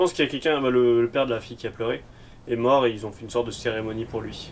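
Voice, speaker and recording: Speaking at a very fast pace, a man uses a medium pitch with ordinary variation, and his loudness swings widely. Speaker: youtuber reacting to a TV episode. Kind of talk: reaction commentary. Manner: animated.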